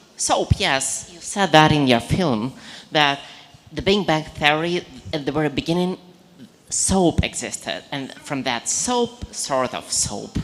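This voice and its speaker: A woman with a non-native accent speaks at a fairly slow pace in a very deep, low voice with lively intonation. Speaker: audience member. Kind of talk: audience question.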